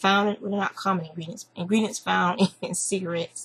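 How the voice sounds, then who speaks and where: A woman talks with a Southern US accent. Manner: casual, chatty.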